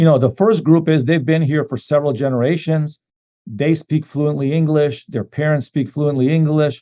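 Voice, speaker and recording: A man's fairly high, dark and mellow voice in a Macedonian accent, at a moderate pace with ordinary pitch variation. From North America, Macedonian immigrant family. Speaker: company co-founder. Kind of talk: business talk with consecutive interpretation. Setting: online call.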